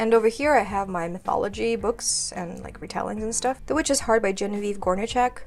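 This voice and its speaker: This woman speaks with a Kazakh accent. Background noise is noticeable. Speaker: booktuber. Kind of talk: bookshelf tour video.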